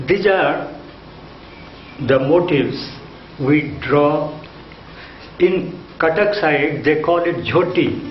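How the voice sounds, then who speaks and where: A man speaks very slowly, with long, frequent pauses and very even loudness. Room echo is audible, and background noise is noticeable. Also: fairly high pitch for a man. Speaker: retired art teacher. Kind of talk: autobiographical interview talk. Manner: halting.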